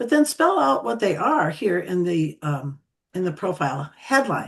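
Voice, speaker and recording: At a moderate pace, a woman with a fairly low, somewhat breathy voice lets her pitch swing very widely. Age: 70s. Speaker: social media tutor. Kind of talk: presentation.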